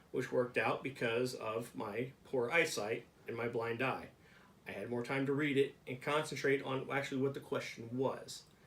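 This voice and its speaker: His voice is a plain, everyday voice, pitched in the medium range for a man. Delivery stays at a moderate pace, the intonation fairly even. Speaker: vlogger with brain injury. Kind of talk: casual talk to camera.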